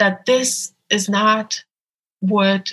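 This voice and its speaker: With a Polish accent, a woman talks in a bright, sharp tone and fairly even intonation. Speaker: abortion rights activist. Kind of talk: interview. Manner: hesitant with many fillers.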